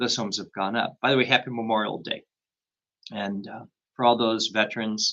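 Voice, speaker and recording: Monotone, flat intonation marks this man's medium-pitched, bright and sharp voice, which makes big swings in loudness and leaves long, frequent pauses. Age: 60s. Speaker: real estate agent. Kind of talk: live stream talk. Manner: halting, many repeated words.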